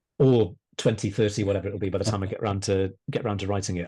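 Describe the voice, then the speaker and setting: Against a very clean recording with a silent background, a man talks at a very fast pace in a fairly low, dark, mellow, somewhat breathy voice. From Wales, Pembrokeshire. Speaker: historian and author. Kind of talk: podcast interview. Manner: hesitant, repeats words.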